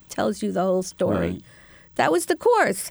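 This woman speaks with an American accent. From New York City, Queens. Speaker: professor. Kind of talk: interview.

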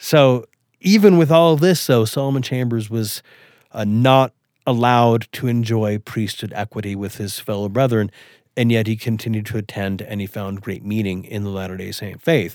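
A man with a western US accent speaks at a moderate pace and medium pitch, with ordinary pitch variation, on a very clean recording with a silent background. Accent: western American. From western Wyoming, US. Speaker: historian of race in the church. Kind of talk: interview on history.

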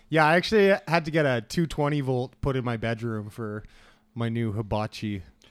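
On a very clean recording with a silent background, a man with an ordinary speaking voice speaks at a medium pitch and moderate pace with lively intonation. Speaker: podcast host. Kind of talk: casual banter. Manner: crude, joking.

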